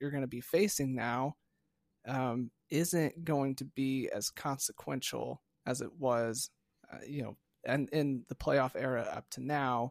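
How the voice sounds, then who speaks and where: Recorded very cleanly against a silent background, with a dry, close sound and no echo, a man speaks at a fairly high pitch with fairly even intonation. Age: 20s. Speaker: sports podcast host. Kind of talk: casual chat.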